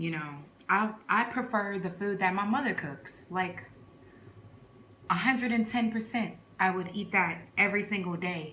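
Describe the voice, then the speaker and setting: With an American accent, the speaker uses a relaxed tone, ordinary pitch variation and a moderate pace with long, frequent pauses, amid noticeable background noise and audible room echo. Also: woman, medium pitch for a woman. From New York (Brooklyn), Trinidad-born. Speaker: vlogger. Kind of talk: casual chat. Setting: eating on camera at home. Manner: relaxed, conversational.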